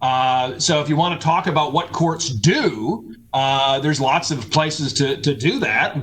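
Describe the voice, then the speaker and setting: Fairly high male speech at a moderate tempo, background noise clearly present. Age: 40s. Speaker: law professor. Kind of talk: casual chat. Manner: halting.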